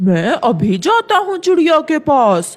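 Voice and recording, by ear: A cartoonish character voice over faint music in the background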